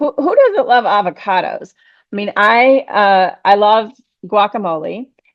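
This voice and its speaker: A woman speaks at a fairly slow pace in an unremarkable speaking voice, her pitch fairly high with ordinary variation. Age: 60s. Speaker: podcast host. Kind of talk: casual interview chat.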